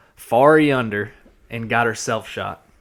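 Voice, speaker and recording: A man with a slight Georgia accent and ordinary pitch variation. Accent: slight Southern (Georgia). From US South, Georgia. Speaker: podcast host. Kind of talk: casual chat. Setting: studio.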